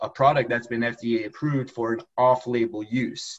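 The man's voice is somewhat breathy, moving at a moderate pace with fairly even intonation. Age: 30s. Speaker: lawyer and accountant. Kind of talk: interview.

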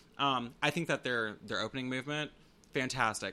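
A loud man speaks at medium pitch with a bright, sharp tone. His intonation is fairly even. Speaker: drum corps podcast co-host. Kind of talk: casual chat.

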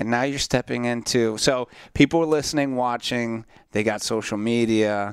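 Here a man with an American accent uses an ordinary speaking voice at medium pitch and a moderate pace. His intonation is fairly even, and the recording is very clean with a silent background. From Central Florida. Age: 30s. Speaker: podcast and radio host. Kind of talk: casual interview chat.

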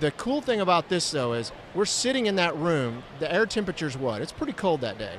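A man at a high pitch and fairly quick pace, with noticeable background noise. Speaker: radio show producer. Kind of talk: casual banter.

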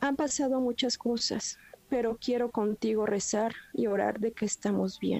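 A woman with a Mexican accent, fairly slow pace and fairly even intonation. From Mexico. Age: 40s. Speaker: caller. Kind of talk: testimony. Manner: halting.

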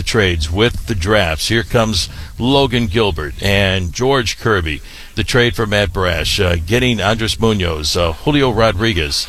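A fairly low-pitched man with lively intonation, over noticeable background noise. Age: 60s. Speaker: baseball play-by-play broadcaster. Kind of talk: casual interview.

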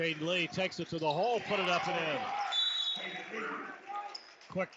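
Behind a man's speech there is noticeable background noise, and his pitch varies in an ordinary way. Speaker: radio play-by-play announcer. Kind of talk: live radio basketball play-by-play commentary. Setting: gymnasium, live radio broadcast. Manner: rapid-fire, clipped and excitable, calling passes, steals and fouls as they happen.

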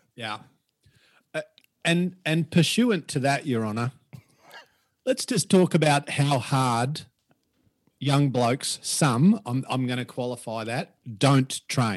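With an Australian accent, a man of fairly high pitch speaks very slowly with lively intonation and long, frequent pauses. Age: 50s. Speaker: personal trainer. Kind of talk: casual interview. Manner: animated.

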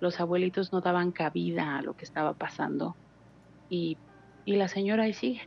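Speaking at a moderate pace with ordinary pitch variation, a woman with a fairly low pitch leaves long, frequent pauses. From Mexico City. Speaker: caller. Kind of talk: phone-in storytelling. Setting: phone call.

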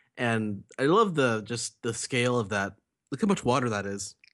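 Against a quiet background, a man with a normal speaking voice talks at medium pitch and a moderate pace, using lively intonation. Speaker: podcast co-host. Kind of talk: casual chat.

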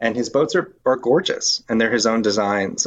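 Moving at a fairly quick pace, a man with an unremarkable speaking voice talks at medium pitch with ordinary pitch variation. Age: 40s. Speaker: wooden boatbuilder and winery executive. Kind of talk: casual interview.

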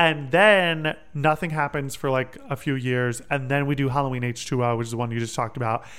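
The speech moves at a fairly quick pace with hardly any pauses. Pitch varies in an ordinary way. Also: man, medium pitch for a man. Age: 20s. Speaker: podcast host. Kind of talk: casual chat. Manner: animated.

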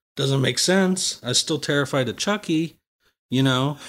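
On a very clean recording over a silent background, a man talks with an American accent. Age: 20s. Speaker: private investigator and mushroom farmer. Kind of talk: casual interview chat. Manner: halting, many fillers.

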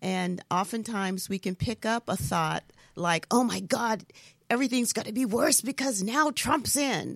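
A woman with a plain, everyday voice talks at a moderate pace, her fairly high pitch carried by lively intonation. The sound is dry and close with no echo, on a very clean recording with a silent background. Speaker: spiritual healer and coach. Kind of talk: interview.

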